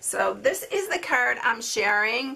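The woman's voice sits high in pitch. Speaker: craft demonstrator. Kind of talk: tutorial. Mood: cheerful, relaxed.

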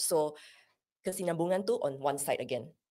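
Over a quiet background, a woman talks at a fairly quick pace with a non-native accent. Her fairly low voice has very wide pitch swings. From Sarawak, Malaysia. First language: not Malay (speaking Malay). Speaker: pharmacist and mental health first aid instructor; mental health first aid instructor. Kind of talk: interview. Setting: studio. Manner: code-switching Malay and English. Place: studio. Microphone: studio mic.

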